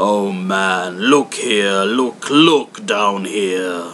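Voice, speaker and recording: Over clear background noise, a man with a fairly low pitch uses a put-on character voice at a very slow pace. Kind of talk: Victorian storytelling. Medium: read story.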